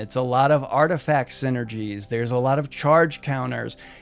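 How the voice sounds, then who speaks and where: Music runs behind the speaker. The man keeps a moderate pace. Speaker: Magic: The Gathering content creator. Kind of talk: casual commentary video.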